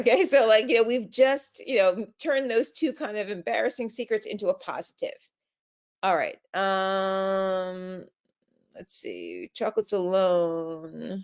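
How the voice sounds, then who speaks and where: In an ordinary speaking voice, a woman talks at a fairly slow pace and medium pitch, with lively intonation and big swings in loudness. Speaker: travel marketing trainer. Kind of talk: webinar training.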